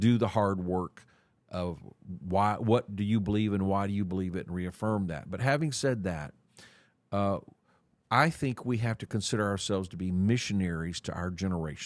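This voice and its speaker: Against a quiet background, a man with an unremarkable speaking voice talks at a moderate pace, fairly low in pitch, with ordinary pitch variation. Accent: American. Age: 60s. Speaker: church leader. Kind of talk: interview.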